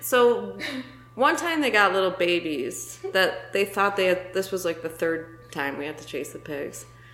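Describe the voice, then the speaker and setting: Amid noticeable background noise, a woman speaks at a fairly slow pace with big swings in loudness. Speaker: photographer. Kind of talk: casual chat.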